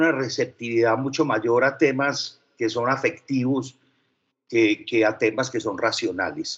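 The speaker is a man with a Paisa accent. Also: quiet background. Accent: Paisa (Antioquia) Spanish. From Medellín, Colombia (from age 12). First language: French (speaking Spanish). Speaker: advertising executive. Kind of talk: interview.

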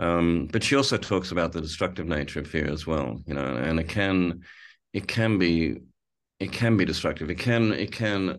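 A man with a very deep, low pitch uses lively intonation and vocal fry. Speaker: film director with Parkinson's. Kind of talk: interview conversation. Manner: thoughtful, hesitant with repeated words.

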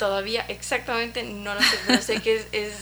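A woman's medium-pitched, fairly even, fairly slow speech amid noticeable background noise. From Ecuador. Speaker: photographer. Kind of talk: interview. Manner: halting.

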